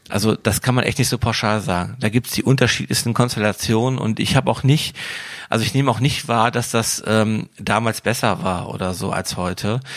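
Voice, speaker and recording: A man's normal speaking voice, medium in pitch, at a fairly quick pace with ordinary pitch variation. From Wuppertal, western Germany. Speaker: DJ and event promoter. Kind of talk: casual interview.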